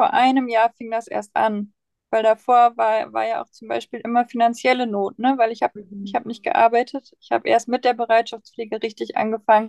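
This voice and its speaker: At a moderate pace, a woman with a fairly high voice speaks with fairly even intonation, the sound dry and close with no echo. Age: 20s. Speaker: foster mother and baby course leader. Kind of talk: personal testimony in interview. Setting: in-person recording in a room. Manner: many fillers, hesitant.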